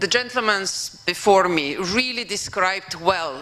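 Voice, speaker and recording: In a Slovenian accent, a woman of medium pitch speaks with lively intonation amid audible room echo and noticeable background noise. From Slovenia (former Yugoslavia). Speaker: professor and former European commissioner. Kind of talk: conference keynote speech. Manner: hesitant, with fillers.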